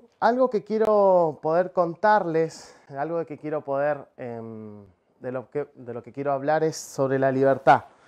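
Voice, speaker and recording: A man with a Rioplatense accent speaks at a fairly slow pace with lively intonation. His loudness swings widely against a quiet background. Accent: Argentine Spanish (rioplatense). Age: 30s. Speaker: preacher, missionary and professional cook; preacher. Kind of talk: sermon. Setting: speaking to a camera, livestreamed meeting. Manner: halting, many filler sounds. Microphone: lapel.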